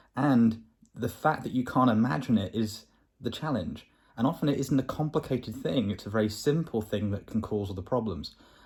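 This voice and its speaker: Somewhat breathy speech in a southern English accent moves at a fairly quick pace on a very clean recording with a silent background. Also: man. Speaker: vlogger. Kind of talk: video diary. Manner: fast.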